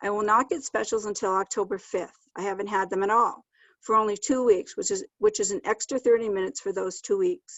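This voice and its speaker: An ordinary speaking voice from a woman at medium pitch and a fairly quick pace. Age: 60s. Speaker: kindergarten teacher. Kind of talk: public comment.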